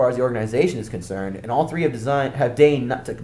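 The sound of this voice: We hear an unforced reading voice throughout.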